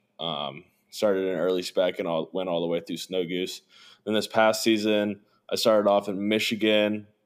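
Someone with a Midwestern American accent speaks at a moderate pace with fairly even intonation. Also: man, fairly low pitch for a man. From southern Indiana (Evansville). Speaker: hunting videographer. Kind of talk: casual interview.

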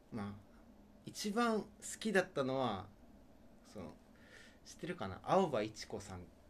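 At a moderate pace, a man with a medium pitch makes very wide pitch swings. His loudness swings widely, and long pauses come often. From Okinawa, Japan. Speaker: radio show co-host. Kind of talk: casual chat.

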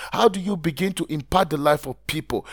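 The warm tone comes at a moderate pace with a dry, close sound and no echo. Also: man. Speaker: podcast host, blogging coach. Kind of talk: pep talk. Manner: earnest, motivational, direct address to listener; emphatic, rhetorical questions, warm and encouraging.

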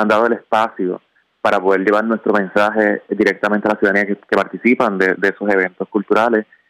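Delivered at a very fast pace in a monotone, flat intonation, the voice sounds dry and close with no echo. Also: man. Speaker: traffic safety commission official. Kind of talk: radio interview.

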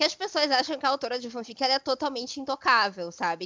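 With an unremarkable speaking voice and lively intonation, a woman talks at a fairly quick pace. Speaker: podcast co-host. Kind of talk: casual chat.

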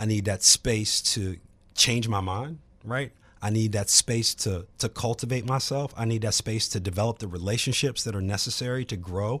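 On a very clean recording with a silent background, a man speaks in an ordinary speaking voice at a moderate pace and medium pitch, with ordinary pitch variation. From Virginia, Charlottesville. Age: 40s. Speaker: real estate agent and author. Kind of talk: casual chat.

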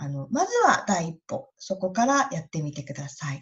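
A woman's fairly low, somewhat breathy voice at a fairly slow pace, with very wide pitch swings. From Japan, Iwate. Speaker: nurse. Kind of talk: interview.

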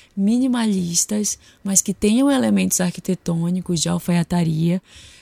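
Quiet and somewhat breathy, a woman talks at a moderate pace with a fairly low pitch and a dark, mellow tone. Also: very clean recording, silent background. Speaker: podcast host and style consultant. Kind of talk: solo podcast monologue. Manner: getting quieter as voice fades.

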